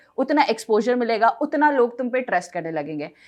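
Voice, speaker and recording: This is a woman's voice. She speaks at a moderate pace. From Himachal Pradesh, small town. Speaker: English teacher. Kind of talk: podcast interview.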